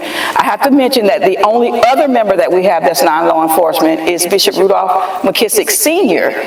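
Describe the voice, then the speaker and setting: The pace is moderate, and noticeable background noise can be heard. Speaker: podcast host. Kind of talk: interview. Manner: louder.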